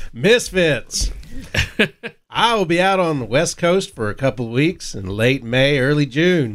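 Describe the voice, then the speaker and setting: Putting on a drawling character voice with a Texan accent, a man speaks at a moderate pace and a fairly high pitch. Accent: Texan drawl. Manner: exaggerated, drawling.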